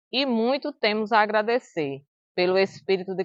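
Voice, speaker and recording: A plain, everyday voice at a fairly slow pace with lively intonation. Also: woman. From Extremoz, Rio Grande do Norte, northeast Brazil. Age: 50s. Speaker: teacher and local historian. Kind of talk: documentary narration. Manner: formal.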